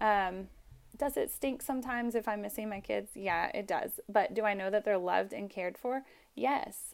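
A woman at medium pitch and a moderate pace, with ordinary pitch variation and a plain, everyday voice. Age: 30s. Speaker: mother and student midwife. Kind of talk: casual chat.

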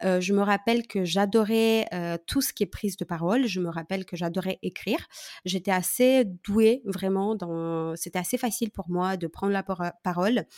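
In a normal speaking voice, a woman talks at a moderate pace and medium pitch with ordinary pitch variation, her sound dry and close with no echo on a very clean recording with a silent background. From Moldova. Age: 30s. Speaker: social media coach. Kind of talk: casual interview.

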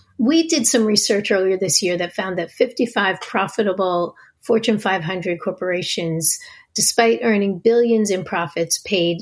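The speaker has an American accent and a somewhat breathy voice, with ordinary pitch variation at a moderate pace. The recording is very clean, the background silent. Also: woman. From US Northeast, New Jersey. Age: 50s. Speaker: think tank executive director. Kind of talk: interview.

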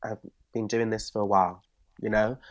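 A man's fairly low voice with a Bristol accent, over a quiet background. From Bristol, England. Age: 20s. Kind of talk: casual chat. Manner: animated.

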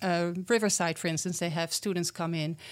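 A woman of medium pitch with a Dutch accent, on a very clean recording with a silent background. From Netherlands. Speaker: program founder working with schools. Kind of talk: casual interview.

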